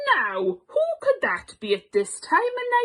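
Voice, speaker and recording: A woman talks at a fairly slow pace in a put-on character voice. Her pitch is extremely high. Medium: read story. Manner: warm, kindly.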